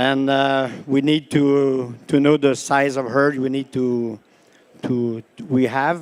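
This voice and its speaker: In a Quebec accent, a man at a medium pitch speaks with monotone, flat intonation. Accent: Québécois French accent in English. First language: French. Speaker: dairy cattle breeder. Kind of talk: panel discussion answer. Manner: halting.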